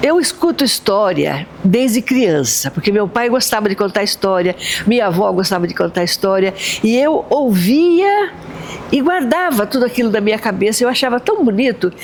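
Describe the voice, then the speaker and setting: A fairly high-pitched woman with very wide pitch swings and very even loudness, over noticeable background noise. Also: moderate pace. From São Sebastião, São Paulo coast, Brazil. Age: 80s+. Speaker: storyteller. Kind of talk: interview. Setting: theatre.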